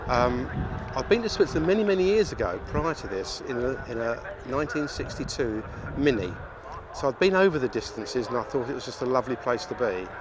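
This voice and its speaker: The pitch swings very widely, with noticeable background noise behind the voice. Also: man, medium pitch for a man, fairly quick pace. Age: 60s. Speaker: classic car owner. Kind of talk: interview monologue.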